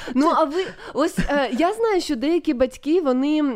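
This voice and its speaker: Lively intonation marks this woman's speech. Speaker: radio host. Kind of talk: live radio talk show. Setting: studio.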